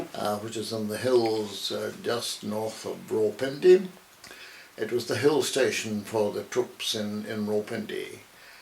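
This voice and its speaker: A man with a Scottish accent at a fairly slow pace, with noticeable background noise. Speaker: retired army officer. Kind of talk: interview.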